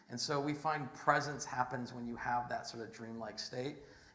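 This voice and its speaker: A man with a medium pitch talks at a fairly quick pace, with audible room echo and noticeable background noise. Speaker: entrepreneur, conference speaker. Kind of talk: conference talk with slides. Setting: stage with audience. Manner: halting, many fillers and restarts; fast, rushing to finish.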